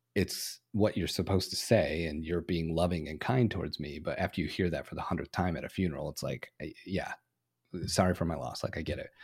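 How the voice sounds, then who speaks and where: On a very clean recording with a silent background, a man with a very deep, low, somewhat breathy voice speaks in a calm tone at a fairly quick pace, with ordinary pitch variation. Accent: American. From US Midwest, Flint, Michigan. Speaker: video production expert. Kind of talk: casual interview.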